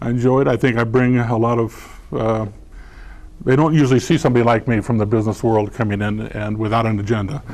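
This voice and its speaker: A man with an American accent, medium pitch and fairly even intonation, at a very fast pace. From California, San Diego. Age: 60s. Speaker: school board candidate. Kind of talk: candidate forum answer. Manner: halting, many fillers and repeats.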